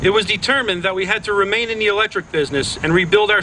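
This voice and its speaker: With an American accent, a man speaks in a raised, projected voice that is high for a man, moving at a fairly quick pace with ordinary pitch variation against noticeable background noise. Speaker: mayor of a small town. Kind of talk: public ceremony speech.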